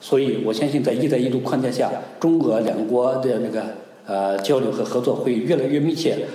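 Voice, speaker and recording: A man at a medium pitch, fairly quick in pace with ordinary pitch variation, amid noticeable background noise and audible room echo. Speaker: research professor on Sino-Russian economics. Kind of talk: interview answers. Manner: hesitant with many fillers.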